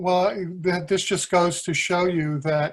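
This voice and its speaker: The setting is quiet. A man delivers his words very slowly. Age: 60s. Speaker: town resident. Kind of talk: public comment at town meeting. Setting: remote electronic meeting.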